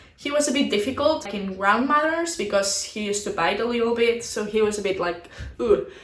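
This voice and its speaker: A woman's fairly high voice with lively intonation, in a Spanish accent. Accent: non-native English, Spanish. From Barcelona, Spain. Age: 20s. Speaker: dressage rider. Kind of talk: casual talk to camera.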